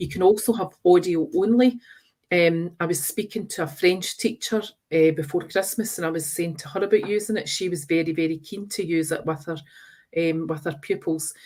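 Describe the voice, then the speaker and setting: A woman in a West of Scotland accent, fairly low in pitch, fairly quick, with ordinary pitch variation and big swings in loudness. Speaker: teacher trainer. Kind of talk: webinar presentation.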